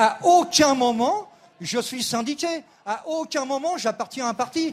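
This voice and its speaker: A man is speaking here. His pace is fairly slow. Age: 60s. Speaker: retired protester. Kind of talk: live interview. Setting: outdoors at a street protest.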